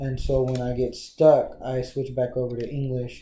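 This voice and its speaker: A man speaks at a medium pitch in a somewhat breathy, monotone voice with flat intonation, and the room echo is audible. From Texas Panhandle, US. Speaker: interviewee. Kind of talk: interview. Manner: hesitant, many fillers.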